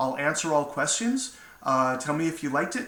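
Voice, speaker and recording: A fairly high-pitched man at a fairly quick pace, with lively intonation and audible room echo. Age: 60s. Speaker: motivational speaker. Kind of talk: inspirational talk to camera. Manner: casual, with fillers.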